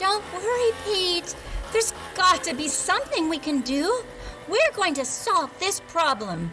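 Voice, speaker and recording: A woman uses a put-on character voice at an extremely high pitch, speaking at a fairly slow pace over clear background noise. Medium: read story. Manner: warm, kind.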